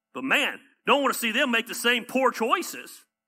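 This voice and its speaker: Speaking in an animated tone with a Southern US accent, a man uses an extremely high pitch, ordinary pitch variation and a moderate pace. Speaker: pastor. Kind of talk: sermon. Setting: church.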